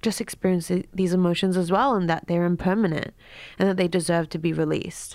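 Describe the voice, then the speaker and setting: A woman with an Australian accent, fairly low in pitch, at a fairly quick pace, on a very clean recording with a silent background. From Australia, Queensland. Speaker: writer and artist. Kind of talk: interview.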